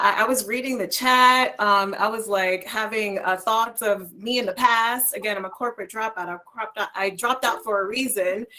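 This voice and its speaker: Speaking at a moderate pace with hardly any pauses, a woman uses a fairly high pitch and ordinary pitch variation. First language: Spanish. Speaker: career coach. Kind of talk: online panel discussion.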